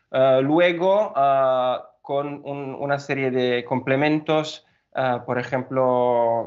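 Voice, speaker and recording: This man speaks with an Italian accent at a medium pitch. His pace is very slow. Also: fairly even intonation. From Italy. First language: Italian (speaking Spanish). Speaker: engineer at a building materials company. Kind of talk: podcast interview. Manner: hesitant, many fillers.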